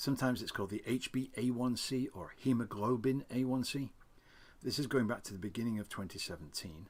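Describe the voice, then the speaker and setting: At a fairly quick pace, a man talks in an ordinary speaking voice, medium in pitch with ordinary pitch variation. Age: 60s. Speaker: type 2 diabetes reversal advocate. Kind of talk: casual talk to camera.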